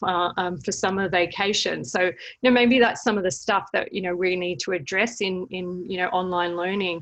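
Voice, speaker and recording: At a moderate pace and medium pitch, a woman speaks in an Australian accent against a quiet background. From Australia, Melbourne. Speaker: service learning educator. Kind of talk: webinar presentation. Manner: hesitant, many fillers.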